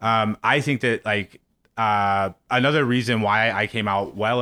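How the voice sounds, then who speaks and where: With an American accent, this man has an unremarkable speaking voice, a fairly low pitch and fairly even intonation. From Missouri, US Midwest. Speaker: former political TV booker. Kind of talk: casual interview.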